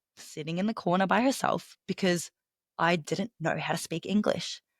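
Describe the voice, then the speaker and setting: In an Australian accent, the speaker shows ordinary pitch variation, heard dry and close with no echo on a very clean recording with a silent background. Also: woman. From Australia, Melbourne. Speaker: professional speaker and business coach. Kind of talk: podcast interview.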